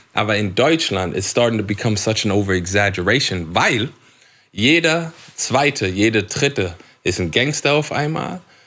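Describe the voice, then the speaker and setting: A man with a non-native accent, fairly low pitch, fairly slow pace and lively intonation, in a very clean recording with a silent background. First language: English (speaking German). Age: 30s. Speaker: English-language rapper. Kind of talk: casual chat. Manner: code-switching German and English.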